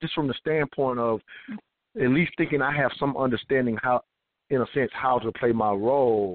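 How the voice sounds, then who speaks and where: In an ordinary speaking voice, a man talks at a moderate pace and medium pitch with fairly even intonation. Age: 40s. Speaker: radio talk show host. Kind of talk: radio talk show.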